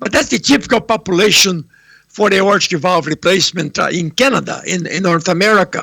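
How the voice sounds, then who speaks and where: Raising and projecting his voice, a man speaks with a high pitch, a bright, sharp tone and ordinary pitch variation. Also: dry, close sound with no echo. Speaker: heart surgeon. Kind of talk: lecture. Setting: remote video presentation from home. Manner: loud.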